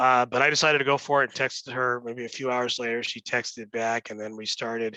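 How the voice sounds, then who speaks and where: A man with a Californian accent talks loudly at a medium pitch. The sound is dry and close, with no echo. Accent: Californian American. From Los Angeles, San Fernando Valley. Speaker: real estate executive. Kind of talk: interview. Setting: office. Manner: hesitant, many fillers.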